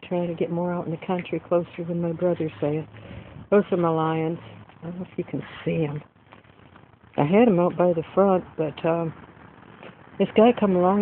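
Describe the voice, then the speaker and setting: At a moderate pace, the voice comes through dry with no echo over light background noise. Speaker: home vlogger. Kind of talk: casual vlog chat. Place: garden. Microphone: phone near.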